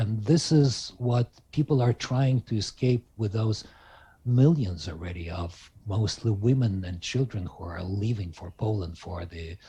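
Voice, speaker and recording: A man's fairly low, dark, mellow, somewhat breathy voice with lively intonation and big swings in loudness, against a quiet background. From Ukraine. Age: 60s. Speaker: Ukrainian interviewee. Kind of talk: remote interview. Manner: halting.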